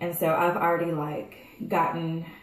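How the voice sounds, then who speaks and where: With fairly even intonation, a woman speaks at a fairly low pitch in a space with audible room echo. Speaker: vlogger. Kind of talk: casual vlog chat. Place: bathroom. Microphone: phone near.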